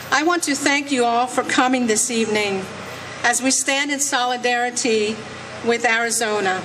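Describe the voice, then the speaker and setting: A woman at a moderate pace, with fairly even intonation and very even loudness, amid audible room echo and noticeable background noise. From France, Alsace near German border. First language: French. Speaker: legal immigrant speaker at rally. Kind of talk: speech.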